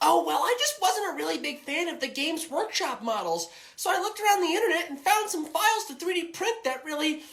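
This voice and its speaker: At an extremely high pitch, this put-on character voice races along at a very fast pace with hardly any pauses. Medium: comedy sketch. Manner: cheerful, oblivious.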